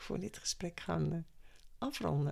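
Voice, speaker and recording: Moderate-paced female speech, very clean recording, totally silent background. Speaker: podcast host, former teacher and coach. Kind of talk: interview.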